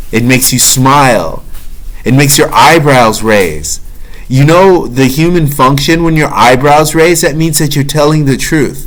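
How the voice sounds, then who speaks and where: At a fairly slow pace, a man with a fairly high pitch speaks amid audible room echo and noticeable background noise. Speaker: self-help vlogger. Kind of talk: motivational monologue. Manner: preachy.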